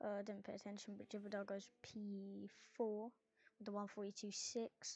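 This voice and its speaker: A woman at medium pitch keeps a moderate pace with monotone, flat intonation. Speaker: sim racing commentator. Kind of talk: live commentary. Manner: soft-spoken.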